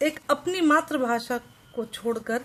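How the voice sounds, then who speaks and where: A woman speaks with lively intonation. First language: Maithili (speaking Hindi). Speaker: vlogger. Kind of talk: casual vlog talk to camera. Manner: halting, with fillers and restarts.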